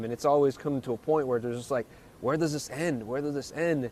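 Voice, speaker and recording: A man talks with a fairly high pitch that varies in an ordinary way. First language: French. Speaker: interviewer. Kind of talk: interview.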